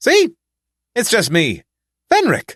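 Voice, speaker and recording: A put-on character voice is pitched fairly high. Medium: read story. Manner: flippant, joking.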